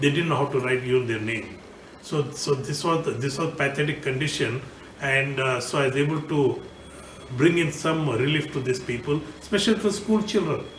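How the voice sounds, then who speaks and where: A man's fairly high voice at a moderate pace, with noticeable background noise and audible room echo. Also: ordinary pitch variation. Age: 60s. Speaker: politician and engineer. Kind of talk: recorded video message. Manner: halting, many fillers.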